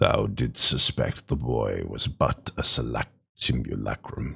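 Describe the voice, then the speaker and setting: A man uses a put-on character voice. It sits at a very deep, low pitch. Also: fairly slow pace. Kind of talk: archaic formal speech. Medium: game stream. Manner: stately, solemn.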